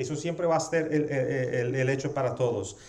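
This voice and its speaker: A man with a non-native accent speaks amid noticeable background noise and audible room echo. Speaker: pastor. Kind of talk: sermon. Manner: halting with fillers.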